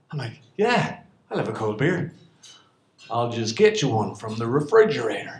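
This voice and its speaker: Moderate pace in an Irish accent, with long, frequent pauses, ordinary pitch variation, big swings in loudness and audible room echo. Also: man, medium pitch for a man. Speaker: storyteller. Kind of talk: stand-up storytelling. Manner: animated.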